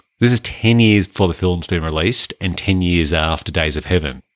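A man with an Australian accent speaks at a moderate pace in a very deep, low pitch with lively intonation. The recording is very clean, with a silent background and a dry, close sound with no echo. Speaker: film podcast host. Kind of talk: casual chat.

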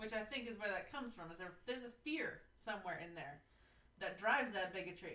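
A woman with an unremarkable speaking voice, fairly high pitch, lively intonation, a fairly quick pace and an American accent. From US Pacific Northwest. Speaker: podcast host, hospice social worker. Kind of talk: casual interview conversation.

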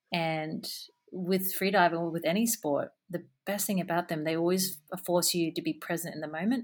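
With an Australian accent, a woman speaks in a fairly low pitch and fairly even intonation on a very clean recording with a silent background. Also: moderate pace. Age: 30s. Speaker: adventure photographer. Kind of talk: interview.

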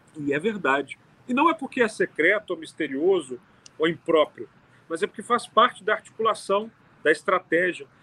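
Raising and projecting his high voice, a man speaks at a moderate pace in a bright, sharp tone with lively intonation, the sound dry and close with no echo. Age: 30s. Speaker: city councillor. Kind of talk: casual interview.

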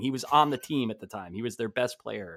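On a very clean recording with a silent background, a man speaks in a normal speaking voice with an American accent, at a fairly quick pace with ordinary pitch variation. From New Jersey. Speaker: sports writer and podcast co-host. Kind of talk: casual chat.

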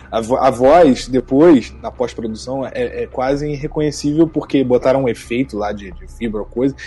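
With fairly even intonation, a man's medium-pitched voice proceeds at a moderate pace. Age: 20s. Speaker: voice actor and music producer. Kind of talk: interview.

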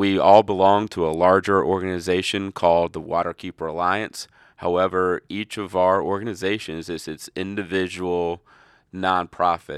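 A man's very deep, low voice with an American accent, moderate in pace and monotone, flat in intonation, dry and close with no echo over a quiet background. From North Carolina. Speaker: riverkeeper, environmental advocate. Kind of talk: interview.

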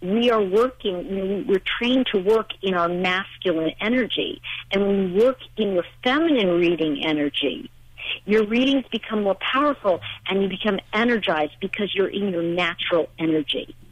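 An unremarkable speaking voice belongs to a woman with an American accent who talks at a moderate pace and medium pitch with lively intonation. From New York. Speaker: spiritual teacher and author. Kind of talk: radio interview.

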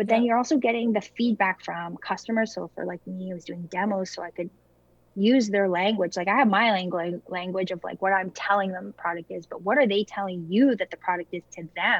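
This woman has a plain, everyday voice with a Canadian accent and ordinary pitch variation. She talks at a fairly quick pace, with big swings in loudness. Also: medium pitch for a woman. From small-town Ontario, Canada. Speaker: food company founder. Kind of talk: interview.

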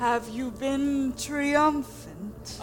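A female-sounding put-on character voice against clear background noise. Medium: actual play. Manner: slow, solemn, full of tree puns.

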